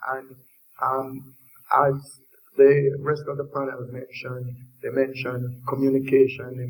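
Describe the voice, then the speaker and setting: A man's somewhat breathy, medium-pitched voice with a Jamaican accent, in a monotone, flat intonation. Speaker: industry panelist. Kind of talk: panel discussion.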